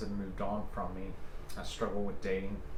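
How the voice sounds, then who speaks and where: A soft-spoken man with a gentle tone talks at a fairly quick pace and a fairly low pitch in a flat monotone. Noticeable background noise runs underneath. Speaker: ASMR creator. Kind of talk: soft-spoken ASMR personal ramble. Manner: soft-spoken, gentle, reflective.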